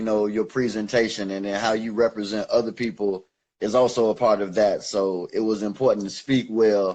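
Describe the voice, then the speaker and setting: The voice has a dark, mellow tone and an American accent, moving at a moderate pace with fairly even intonation. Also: man. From Chicago. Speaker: rapper. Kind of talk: casual interview. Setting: Instagram live video call. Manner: articulate, clear pronunciation.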